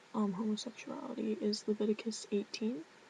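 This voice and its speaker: Soft-spoken, this woman has a fairly high pitch. She speaks at a fairly slow pace. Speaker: vlogger. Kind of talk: casual vlog talk. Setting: dorm room at night.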